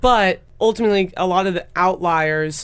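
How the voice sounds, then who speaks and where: This woman has an American accent. Hers is an unremarkable speaking voice. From US Midwest. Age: 20s. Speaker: tech startup founder. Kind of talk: podcast interview.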